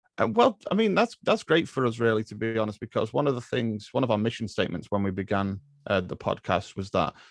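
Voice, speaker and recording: Talking very fast with hardly any pauses, a man with an English accent has a medium pitch and ordinary pitch variation, recorded with a dry, close sound and no echo. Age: 30s. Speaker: film podcaster. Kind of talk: casual chat. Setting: podcast recording.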